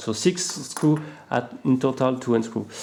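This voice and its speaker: A man's voice sits at a medium pitch, moving at a moderate pace with ordinary pitch variation. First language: not English. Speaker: RC hobby product reviewer. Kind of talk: unboxing tutorial. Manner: halting, many fillers.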